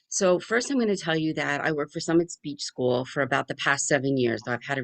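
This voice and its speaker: With lively intonation, a woman moves through her words at a fairly quick pace. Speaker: speech pathologist presenter. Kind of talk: webinar presentation. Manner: fast.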